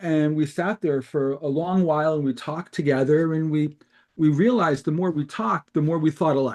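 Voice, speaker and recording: This is an ordinary speaking voice, a man's with a fairly high pitch and fairly even intonation. He keeps a moderate pace over a quiet background. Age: 60s. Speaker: card-search startup co-founder. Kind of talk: interview.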